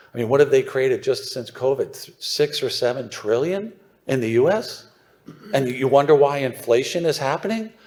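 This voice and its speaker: This man's voice sits fairly high in pitch. He talks at a fairly quick pace. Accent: Philadelphia. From US, suburban Philadelphia. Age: 60s. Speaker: newsletter writer on mining investment. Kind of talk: conference presentation. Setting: stage with audience. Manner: animated.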